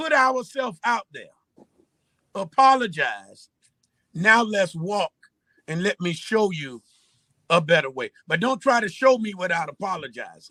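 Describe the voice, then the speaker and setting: A man with a high, bright, sharp voice projects loudly in an animated tone, with very wide pitch swings and big swings in loudness. He speaks at a fairly slow pace with long, frequent pauses, in a dry, close sound with no echo. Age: 60s. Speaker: pastor. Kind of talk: bible study teaching.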